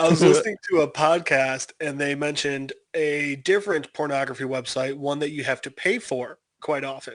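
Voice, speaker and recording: A man with a slight Chicago accent, fairly high in pitch with ordinary variation, at a moderate pace. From Chicago, US Midwest. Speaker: podcast co-host. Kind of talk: casual chat.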